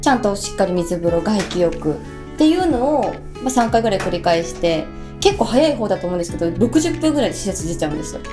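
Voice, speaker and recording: A woman speaks at a very fast pace with music in the background. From Tokushima, Japan. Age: 30s. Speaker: radio personality. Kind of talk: casual radio talk.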